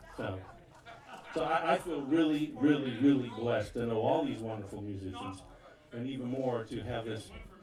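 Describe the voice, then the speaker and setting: A man's medium-pitched voice carries audible room echo, with noticeable background noise in the mix. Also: ordinary pitch variation, moderate pace. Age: 60s. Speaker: bandleader. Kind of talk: stage announcement to live audience. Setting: outdoor backyard concert with audience. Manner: halting, with frequent fillers and stammers.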